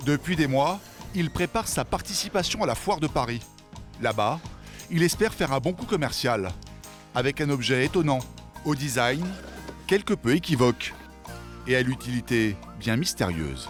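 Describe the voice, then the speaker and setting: With music in the background, a man speaks with very wide pitch swings and long, frequent pauses. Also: medium pitch for a man, moderate pace. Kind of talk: documentary narration.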